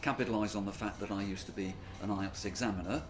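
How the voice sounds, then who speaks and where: A man with a southern English accent, a fairly low pitch and a fairly quick pace, with audible room echo and music in the background. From England (born Yorkshire, raised Oxford). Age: 60s. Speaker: English teacher and former exam examiner. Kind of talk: interview. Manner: hesitant, with fillers.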